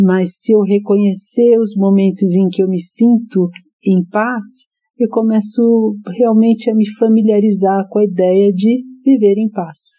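A woman speaks at a very slow pace and a medium pitch, with fairly even intonation. Her tone is dark and mellow, and somewhat breathy. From Brazil, São Paulo. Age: 60s. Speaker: psychologist and author. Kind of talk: interview.

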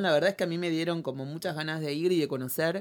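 Someone speaks at a very fast pace with a Rioplatense accent. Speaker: podcast host. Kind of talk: casual chat.

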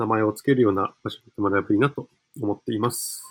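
A man speaks at a very fast pace with fairly even intonation, the sound dry and close with no echo. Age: 20s. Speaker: community cafe operator. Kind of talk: podcast interview.

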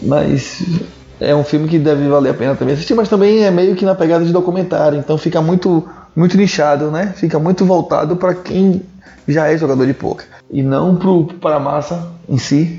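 A man talks in a high pitch at a moderate pace. His intonation stays fairly even. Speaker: podcast host. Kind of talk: casual chat. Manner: relaxed, slangy.

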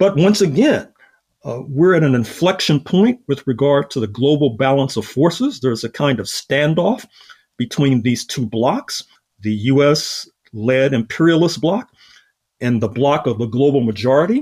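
With lively intonation and a fairly high pitch, a man speaks at a moderate pace in an ordinary speaking voice. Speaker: historian and author.

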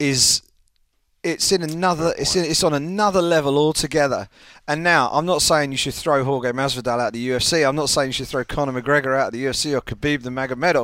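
A man with an English accent talks very fast in a fairly high voice with ordinary pitch variation, on a very clean recording with a silent background. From England. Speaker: MMA journalist. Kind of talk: casual chat.

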